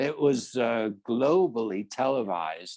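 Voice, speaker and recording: Ordinary pitch variation and an English accent, with a dry, close sound and no echo. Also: man. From England. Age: 70s. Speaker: business coach and entrepreneur. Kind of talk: interview answer.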